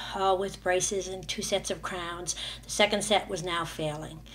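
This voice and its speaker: Amid audible room echo, a woman talks at a moderate pace with a fairly low pitch and fairly even intonation. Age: 60s. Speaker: dental patient giving testimonial. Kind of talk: testimony. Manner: halting, many fillers.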